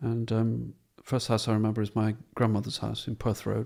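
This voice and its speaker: Speech comes at a moderate pace in a southern English accent. It is a very clean recording with a silent background. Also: man. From southern England, Portsmouth. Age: 70s. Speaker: painter. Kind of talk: interview.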